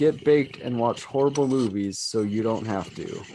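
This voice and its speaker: A man's medium-pitched, dark, mellow voice at a moderate pace, with fairly even intonation. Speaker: podcast host. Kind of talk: casual chat.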